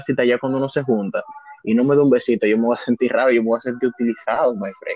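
A man's normal speaking voice at a medium pitch, with ordinary pitch variation. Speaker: podcast co-host. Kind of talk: casual chat.

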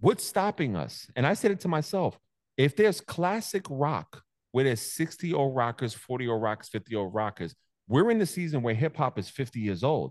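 With a New York accent and very wide pitch swings, a man speaks at a medium pitch in a dry, close sound with no echo over a quiet background. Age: 40s. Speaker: content creator and DJ. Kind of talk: casual chat. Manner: animated.

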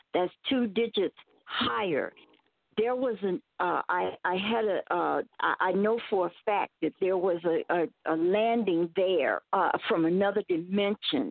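A plain, everyday voice moves at a fairly slow pace, with ordinary pitch variation and very even loudness. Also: woman, medium pitch for a woman. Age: 60s. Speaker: caller. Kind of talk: testimony.

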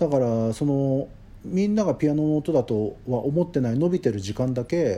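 Lively intonation and a moderate pace in an ordinary speaking voice. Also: man, fairly high pitch for a man. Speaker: composer. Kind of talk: interview.

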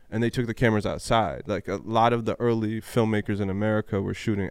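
With a normal speaking voice, a man talks fairly quickly at a fairly low pitch and with fairly even intonation. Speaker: podcast host. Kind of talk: casual chat.

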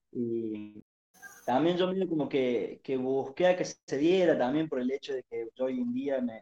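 The tone is dark and mellow. It sounds dry and close with no echo, at a fairly slow pace. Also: man. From Argentina, Córdoba province (Arroyito). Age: 20s. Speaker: football fan. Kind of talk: interview.

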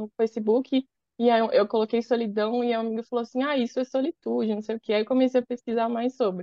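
An unremarkable speaking voice belongs to a woman who talks at a fairly quick pace with fairly high pitch and ordinary pitch variation. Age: 20s. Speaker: advertising professional and content creator. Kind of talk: casual chat.

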